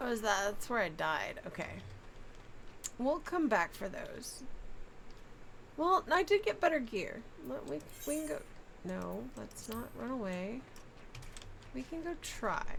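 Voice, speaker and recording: A soft-spoken woman talks with long, frequent pauses. Noticeable background noise sits behind her. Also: fairly slow pace. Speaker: gaming streamer. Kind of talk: live game streaming chat. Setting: live stream.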